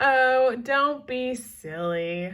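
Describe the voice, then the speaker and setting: The woman puts on a character voice. It sits high in pitch. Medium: read story. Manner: upbeat, salesy.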